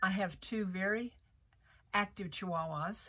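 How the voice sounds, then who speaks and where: A woman speaks at a medium pitch with ordinary pitch variation, an American accent, and a bright, sharp tone. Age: 70s. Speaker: tarot content creator. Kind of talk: personal testimony. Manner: halting, with fillers and repeats.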